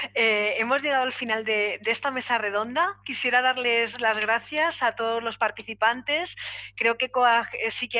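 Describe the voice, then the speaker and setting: A woman is speaking. Her pace is moderate. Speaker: panel moderator. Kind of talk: moderating a panel discussion.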